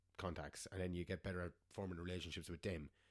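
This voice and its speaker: The very clean recording, silent in the background, captures a man with a Munster Irish accent. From Ireland, Clonmel, Tipperary. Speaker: metal band frontman. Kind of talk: casual interview chat.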